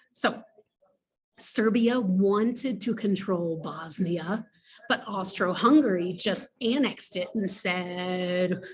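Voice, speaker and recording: Somewhat breathy and at a medium pitch, a woman talks at a very slow pace with ordinary pitch variation. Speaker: teacher. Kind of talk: lecture. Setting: hotel lobby.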